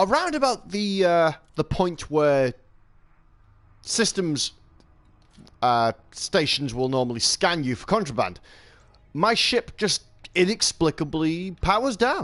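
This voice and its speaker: A high-pitched man speaks at a fairly slow pace with very wide pitch swings and long, frequent pauses. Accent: English. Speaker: gaming streamer. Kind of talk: live gameplay commentary. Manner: halting.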